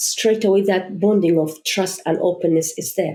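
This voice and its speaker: With a non-native accent, a woman speaks at a medium pitch and a fairly slow pace. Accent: foreign. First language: not English. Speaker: charity founder. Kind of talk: podcast interview.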